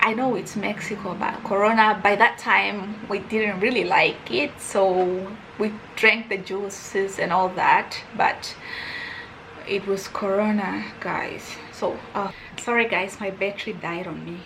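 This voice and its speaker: Spoken at a fairly slow pace with a non-native accent and flat, monotone intonation, the voice carries audible room echo over noticeable background noise. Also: woman, medium pitch for a woman. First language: not English. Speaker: YouTuber. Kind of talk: storytime vlog. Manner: casual, rambling with self-corrections.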